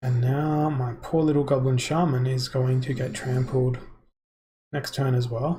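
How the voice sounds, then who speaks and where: This man talks at a medium pitch and a fairly slow pace, with an Australian accent. His voice is somewhat breathy, and his intonation stays flat and monotone. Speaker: gamer streamer. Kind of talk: gameplay live stream commentary.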